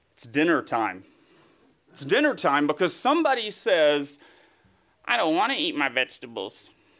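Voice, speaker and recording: His voice carries a Southern US accent. This man's intonation stays lively throughout. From US South, East Tennessee. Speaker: guest preacher, writer. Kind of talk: sermon.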